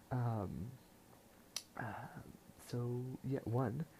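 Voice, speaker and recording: A quiet man speaks in a dark, mellow tone. His voice is somewhat breathy. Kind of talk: casual talk to camera.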